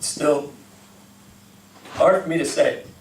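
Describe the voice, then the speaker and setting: The man's voice is high-pitched and his pace is moderate. Noticeable background noise runs under the recording. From Texas. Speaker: slam poet. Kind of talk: performance poetry. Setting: live venue.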